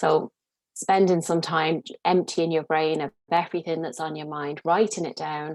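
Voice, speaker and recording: With an Irish accent, a woman speaks at a very deep, low pitch in a flat monotone at a moderate pace, her loudness swinging widely, in a dry, close sound with no echo. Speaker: career coach. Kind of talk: casual chat.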